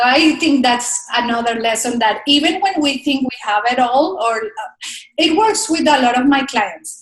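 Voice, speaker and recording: Her intonation lively and her pitch high, a woman speaks at a moderate pace with a slight Spanish accent. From Colombia. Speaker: speaker coach. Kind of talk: interview.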